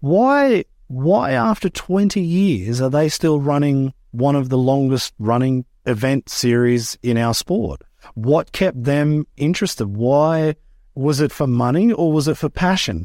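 At a fairly slow pace, a man with an Australian accent, fairly high pitch and a dark, mellow tone talks with lively intonation and very even loudness, dry and close with no echo on a very clean recording with a silent background. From Australia, rural Queensland. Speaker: freestyle motocross rider and event manager. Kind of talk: interview.

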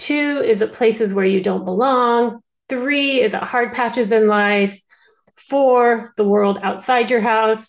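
Speaking very slowly, a woman uses a fairly high pitch with ordinary variation. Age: 40s. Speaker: book club discussion leader. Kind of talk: online group discussion. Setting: video call.

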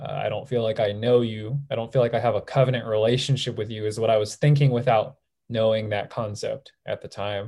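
A man with an American accent speaks in a dark, mellow, somewhat breathy tone with fairly even intonation, in a very clean recording with a silent background. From Southern California. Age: 20s. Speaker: nurse. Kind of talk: testimony.

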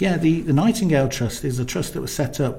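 The man's voice has a dark, mellow tone and is somewhat breathy. Room echo is audible around him. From Coventry, England. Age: 40s. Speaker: nurse. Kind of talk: interview. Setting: studio. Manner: hesitant, many fillers.

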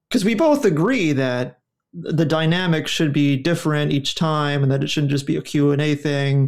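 At a moderate pace, a man with a normal speaking voice and a fairly high pitch talks with very even loudness and ordinary pitch variation. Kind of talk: casual conversation. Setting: live video call.

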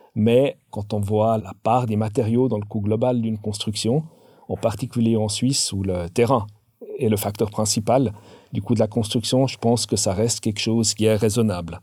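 On a very clean recording with a silent background, a man with a dark, mellow tone speaks at a moderate pace in a fairly low pitch with fairly even intonation. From Switzerland, canton of Vaud. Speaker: industry sales director. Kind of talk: interview. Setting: studio.

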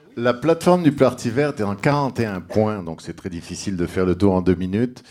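A man with an ordinary speaking voice, fairly low in pitch, at a moderate pace. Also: very clean recording, silent background. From Egypt. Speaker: political candidate. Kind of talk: political debate. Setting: bar with live audience.

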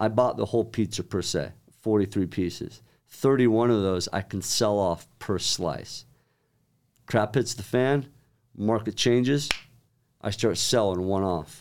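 On a very clean recording with a silent background, a man with a fairly low pitch speaks at a fairly slow pace, with ordinary pitch variation and long, frequent pauses. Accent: American. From Utah (Centerville). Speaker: real estate investor. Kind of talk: casual chat. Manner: animated.

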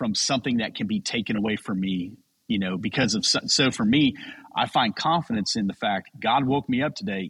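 A man with a normal speaking voice and lively intonation talks at a moderate pace, the sound dry and close with no echo over a quiet background. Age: 40s. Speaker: pastor and men's podcast creator. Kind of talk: interview. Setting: video call.

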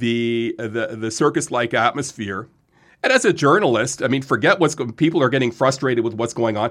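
A normal speaking voice with a Canadian accent and ordinary pitch variation. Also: man, medium pitch for a man. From Ontario, Lindsay. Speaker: sports journalist. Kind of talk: casual chat. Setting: studio.

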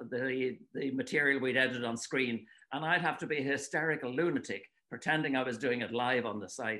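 This man has a Dublin accent. His tone is bright and sharp. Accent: Irish (Dublin). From Ireland, Dublin. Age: 70s. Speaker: author and retired water-ski commentator. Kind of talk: casual interview. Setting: remote call from home.

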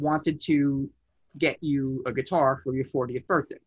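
In an American accent, a man speaks fairly slowly at a fairly high pitch, somewhat breathy, with a dry, close sound and no echo. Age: 40s. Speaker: amp builder, guitarist. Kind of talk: casual chat. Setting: home music room.

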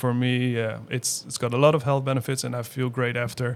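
A man with a medium-pitched voice speaks in a flat monotone. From Netherlands. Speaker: wellness clinic owner. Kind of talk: interview. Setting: in person at the clinic. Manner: halting.

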